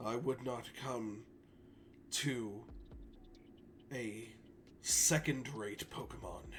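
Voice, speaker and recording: A man uses a raspy, put-on character voice at a medium pitch with fairly even intonation. He talks very slowly with long, frequent pauses over clear background noise. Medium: actual play. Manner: formal, measured, composed.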